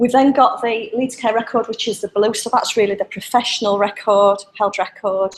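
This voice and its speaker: A woman with a fairly high pitch speaks with hardly any pauses and fairly even intonation. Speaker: public sector IT manager. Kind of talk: conference presentation. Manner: fast.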